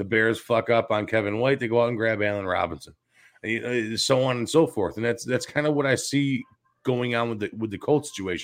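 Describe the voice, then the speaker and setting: A man with a Chicago accent talks at a fairly quick pace, his medium pitch moving with ordinary variation. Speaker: sports radio co-host. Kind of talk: sports talk show. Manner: animated.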